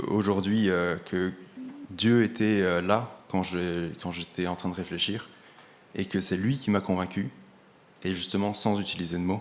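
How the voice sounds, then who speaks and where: Speaking at a very slow pace, the voice keeps a fairly even intonation and leaves long, frequent pauses. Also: man. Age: 20s. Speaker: church member giving testimony. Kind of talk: testimony. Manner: halting.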